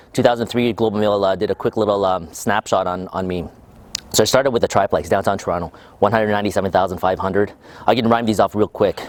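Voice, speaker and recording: A man with a fairly low pitch talks at a very fast pace in a dry, close recording with no echo. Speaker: real estate investor. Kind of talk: interview. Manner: hesitant, many fillers.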